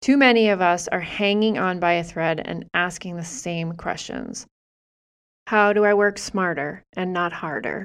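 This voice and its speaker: This woman has an unremarkable speaking voice with an American accent, set at a medium pitch. She goes at a fairly slow pace with ordinary pitch variation. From US Northeast, Massachusetts. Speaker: podcaster and small business owner. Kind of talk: personal storytelling monologue.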